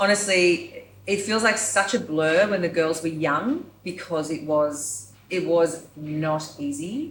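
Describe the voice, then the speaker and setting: A woman's fairly low voice in an Australian accent, at a very slow pace with ordinary pitch variation. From Yamba, New South Wales, Australia. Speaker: performer and creative director. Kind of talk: podcast interview answer.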